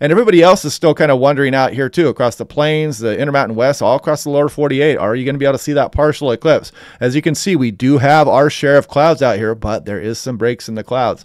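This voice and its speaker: Speaking very fast with hardly any pauses, an animated, enthusiastic voice with an American accent shows ordinary pitch variation, recorded dry with no echo against a quiet background. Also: man, fairly high pitch for a man. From US Pacific Northwest. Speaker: weather forecaster. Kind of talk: weather report. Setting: screen-share video briefing. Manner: conversational, explanatory.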